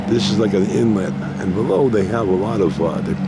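Over loud background noise, a man speaks at a moderate pace, the sound dry with no echo. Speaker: travel vlogger. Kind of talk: casual vlog commentary. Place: waterside. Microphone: phone near.

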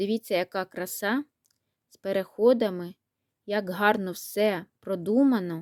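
Here a woman has a normal speaking voice at medium pitch, with fairly even intonation. The sound is dry and close with no echo, in a very clean recording with a silent background. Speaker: knitting and crafts vlogger. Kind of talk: casual vlog, showing handmade toys.

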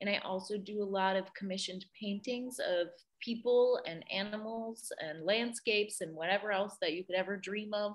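This is an ordinary speaking voice at a moderate pace. It has hardly any pauses. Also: woman, medium pitch for a woman, fairly even intonation. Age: 20s. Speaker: art teacher and studio owner. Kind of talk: interview.

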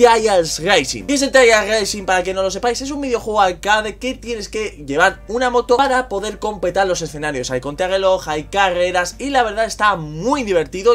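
A man speaks with hardly any pauses. Faint music plays in the background. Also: moderate pace. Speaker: gaming streamer. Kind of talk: casual gameplay commentary. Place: home room. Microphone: handheld.

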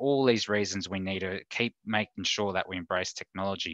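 Against a quiet background, a man with an Australian accent speaks at a fairly quick pace in a bright, sharp tone, the sound dry with no echo. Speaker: insurance advice services manager. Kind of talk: online talk presentation. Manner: casual, hesitant with many fillers. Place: home room. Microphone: headset.

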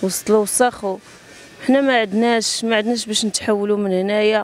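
Against light background noise, a woman speaks at a moderate pace with fairly even intonation and a dry sound with no echo. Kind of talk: interview answer. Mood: distressed, pleading. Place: street. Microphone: handheld.

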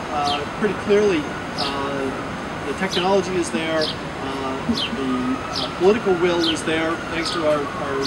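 A man speaks with ordinary pitch variation. Loud background noise is present. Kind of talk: public speech. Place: street. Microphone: handheld.

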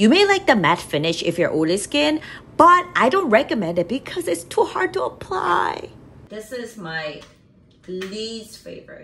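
A woman with a Korean accent talks at a moderate pace in a fairly high voice, her tone animated and her pitch swinging very widely. Her loudness rises and falls sharply, over light background noise. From South Korea. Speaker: makeup artist and beauty YouTuber; beauty YouTuber. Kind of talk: product review vlog. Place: home room. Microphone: phone near.

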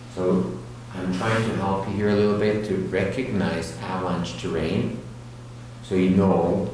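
A man speaks at a moderate pace with a very deep, low pitch and ordinary pitch variation. Strong room echo and light background noise surround his voice. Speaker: avalanche course instructor. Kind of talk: lecture. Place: hall.

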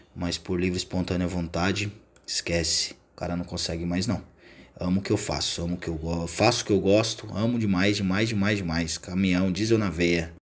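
A man's very deep, low voice unfolds at a moderate speed. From Brazil. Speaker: tow truck driver and YouTuber. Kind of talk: casual vlog; casual vlog chat. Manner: casual, animated. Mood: enthusiastic about his work. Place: street. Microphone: phone near.

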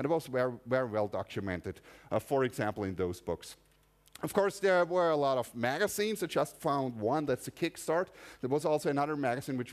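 A man with a German accent, fairly high-pitched, very fast, with very wide pitch swings. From Austria. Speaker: conference speaker. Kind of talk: technical lecture. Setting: stage with audience. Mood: casual, humorous. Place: hall.

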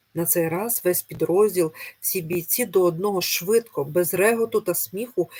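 The pitch of this natural reading voice varies in an ordinary way.

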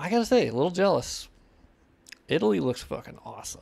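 With a nasal, slightly mellow tone and some vocal fry, a man speaks at a fairly quick pace with lively intonation.

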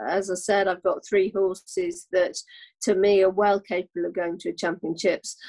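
Nothing disturbs the quiet background as a woman speaks. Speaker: guest. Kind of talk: interview answer. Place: home room. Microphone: video call.

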